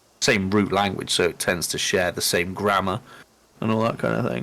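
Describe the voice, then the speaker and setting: This man has an East Midlands accent and a fairly low pitch. His intonation stays fairly even. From England, Lincolnshire (Louth). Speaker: streamer and co-host, former English teacher. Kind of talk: casual live-stream chat. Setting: live stream.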